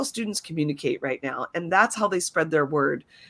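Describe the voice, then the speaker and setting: This woman has a fairly low pitch. It is a plain, everyday voice. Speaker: educator and show co-host. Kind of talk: live webinar presentation. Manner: many filler words.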